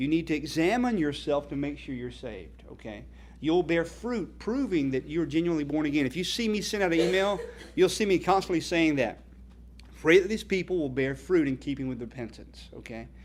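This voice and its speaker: Someone speaks with a North Carolina accent. The pace is fairly quick. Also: man. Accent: Southern US (North Carolina). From US South, North Carolina. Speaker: evangelist, ministry founder. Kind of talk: speech at a fundraising dinner.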